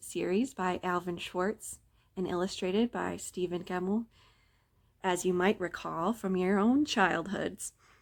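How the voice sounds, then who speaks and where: In a very clean recording with a silent background, a normal speaking voice goes at a fairly slow pace with fairly even intonation. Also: woman. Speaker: library staff member reading a story. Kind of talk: casual talk to camera intro. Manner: friendly, conversational.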